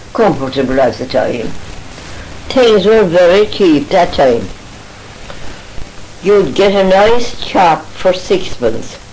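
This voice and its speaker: A woman at a very slow pace with very wide pitch swings and long, frequent pauses, over noticeable background noise. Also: medium pitch for a woman. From Ireland, County Galway. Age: 80s+. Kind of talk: reminiscing interview answer. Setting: home recording.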